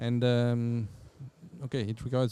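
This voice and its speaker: A man speaks at a medium pitch and moderate pace in a French accent, his tone dark and mellow. The sound is dry and close with no echo. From France. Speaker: company general manager. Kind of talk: podcast interview. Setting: conference venue. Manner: halting, many fillers and repetitions.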